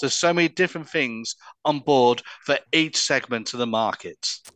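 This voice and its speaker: With a normal speaking voice, the speaker talks at a moderate pace with ordinary pitch variation, in a dry, close sound with no echo against a quiet background. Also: man. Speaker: cruise company executive. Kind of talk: interview, sales pitch.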